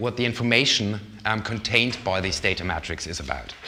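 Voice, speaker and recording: This man speaks with ordinary pitch variation. Audible room echo surrounds his voice. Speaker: lecturer on research data management. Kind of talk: lecture. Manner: fast.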